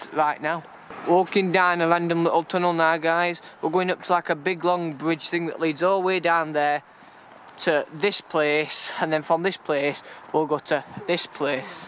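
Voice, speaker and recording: A man with a high pitch speaks in a monotone, flat way at a fairly slow pace, with a dry sound with no echo and light background noise. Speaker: urban explorer vlogger. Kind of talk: casual vlog chat. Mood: wary, slightly nervous. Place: street. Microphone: phone near.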